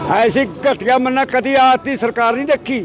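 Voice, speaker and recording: An extremely high-pitched male voice with music in the background. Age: 80s+. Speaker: farmer. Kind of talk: street interview. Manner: animated.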